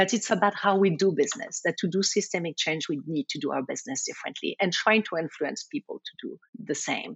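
With a strong French accent, the speaker rushes along at a very fast pace with lively intonation and hardly any pauses. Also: woman. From France. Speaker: community development banker. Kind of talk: interview.

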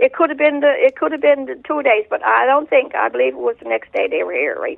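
With a Newfoundland accent, a woman talks at a fairly quick pace. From Newfoundland, Bell Island. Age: 60s. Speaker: eyewitness. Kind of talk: casual interview. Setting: phone call.

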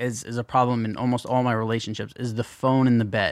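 An ordinary speaking voice moves at a moderate pace over a very clean recording with a silent background. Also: man. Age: 30s. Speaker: podcast host. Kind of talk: casual chat.

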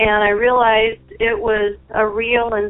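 In an American accent, a woman speaks at a fairly high pitch with monotone, flat intonation and a very slow pace. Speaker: anonymous listener. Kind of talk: testimony.

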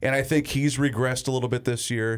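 A man with an American accent talks at medium pitch in an unremarkable speaking voice. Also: very clean recording, silent background. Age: 30s. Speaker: sports radio host. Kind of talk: casual chat.

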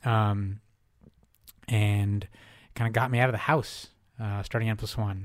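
With an American accent, a man speaks at a fairly low pitch in monotone, flat intonation broken by long, frequent pauses. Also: fairly slow pace, very clean recording, silent background. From US Northeast, Newton near Boston, Russian family. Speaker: magazine editor and writer. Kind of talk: interview. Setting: studio.

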